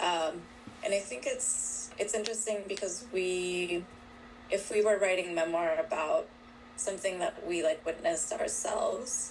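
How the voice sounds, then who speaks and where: Someone with a Spanish accent speaks at a fairly slow pace, with ordinary pitch variation. Noticeable background noise runs underneath. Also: woman, medium pitch for a woman. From Colombia (Bogotá). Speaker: author. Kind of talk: interview. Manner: hesitant, many fillers.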